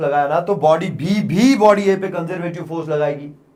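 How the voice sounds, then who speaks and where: Taking his time with a rather slow delivery, a man speaks with normal rises and falls in pitch. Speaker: physics teacher. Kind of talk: lecture. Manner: animated.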